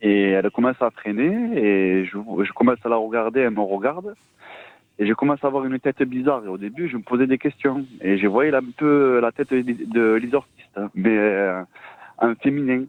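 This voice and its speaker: A man in a southern French accent speaks at a moderate pace and medium pitch, with ordinary pitch variation. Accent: southern French (Midi). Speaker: caller. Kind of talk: testimony. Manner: halting.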